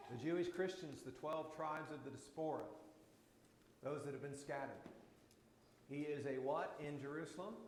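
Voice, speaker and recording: Amid noticeable background noise and audible room echo, a man with a fairly high pitch and fairly even intonation speaks at a moderate pace, pausing long and often. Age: 60s. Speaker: Bible class teacher. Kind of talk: Bible class teaching with discussion. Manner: conversational.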